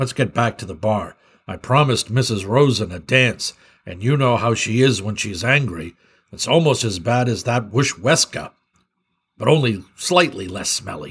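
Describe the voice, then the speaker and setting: Using a put-on character voice at medium pitch, a man talks at a moderate pace on a very clean recording with a silent background. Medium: read story. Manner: urgent, then warm and joking.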